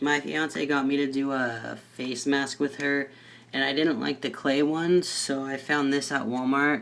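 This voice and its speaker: At a fairly slow pace, a man talks with a medium pitch and fairly even intonation. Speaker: vlogger. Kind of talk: casual vlog update. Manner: hesitant, many fillers.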